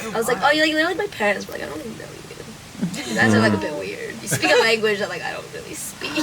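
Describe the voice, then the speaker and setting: The voice rushes at a very fast pace with big swings in loudness, heard through audible room echo and noticeable background noise. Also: woman. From Canada, with early childhood in China. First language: Chinese. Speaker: storyteller among friends. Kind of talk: casual chat.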